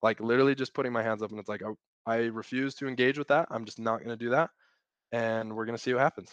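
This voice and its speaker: A man with a Utah accent speaks at a very fast pace and a medium pitch. The sound is dry and close with no echo, over a quiet background. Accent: American (Utah). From Utah, US. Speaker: operations consultant. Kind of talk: casual chat.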